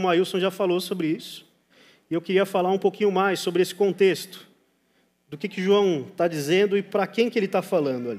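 Speaking at a very fast pace, a man with a high pitch uses ordinary pitch variation. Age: 30s. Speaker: pastor. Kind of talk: sermon.

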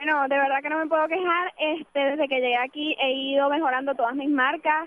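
Her pitch is high and her intonation monotone and flat. The woman speaks at a fairly quick pace. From Venezuela. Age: 20s. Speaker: university sprinter. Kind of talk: radio interview. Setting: on location at a track meet.

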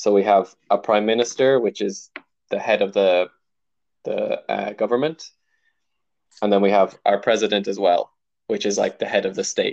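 A man with an American accent speaks at a moderate pace, leaving long, frequent pauses. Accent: Irish, somewhat American-sounding. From Ireland. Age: 20s. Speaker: podcast guest. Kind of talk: casual interview. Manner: hesitant, many fillers.

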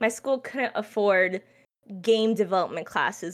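This woman speaks at a fairly slow pace and a fairly high pitch. She has a plain, everyday voice. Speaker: streamer and esports caster. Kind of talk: casual chat. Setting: video call.

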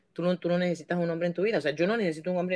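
This is a woman speaking. Her pitch is fairly low. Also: dry, close sound with no echo. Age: 50s. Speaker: podcast host. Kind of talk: casual chat.

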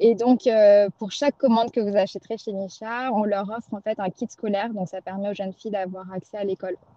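A woman with a plain, everyday voice at medium pitch, fairly quick in pace, with fairly even intonation. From Pondicherry, India. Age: 30s. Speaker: cosmetics brand founder. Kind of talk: testimony.

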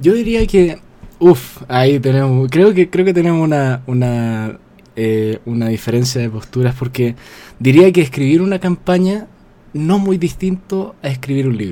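A man speaks at a fairly slow pace in a fairly high pitch, his dark, mellow tone rising and falling in very wide pitch swings. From Chile. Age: 20s. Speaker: novelist. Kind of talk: casual interview.

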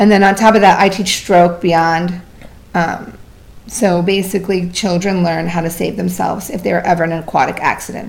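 A woman with a fairly low pitch and fairly even intonation at a moderate pace, with audible room echo. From Vermont. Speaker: swim instructor and water fitness founder. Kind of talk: casual interview.

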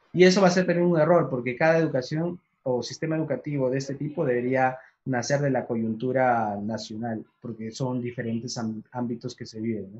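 A normal speaking voice from a man, medium in pitch, at a fairly quick pace, with ordinary pitch variation and big swings in loudness. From Peru, Huancayo. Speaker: director of an online education platform. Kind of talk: casual interview on a livestream.

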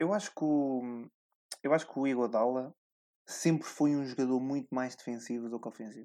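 A man with a dark, mellow tone and medium pitch speaks at a moderate pace with ordinary pitch variation. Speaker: podcast host and sports journalist. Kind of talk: casual chat.

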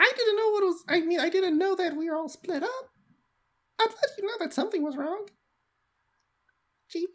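This is a put-on character voice. The pace is fairly slow. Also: female-sounding voice, extremely high pitch for a woman. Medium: actual play. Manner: sheepish, defensive.

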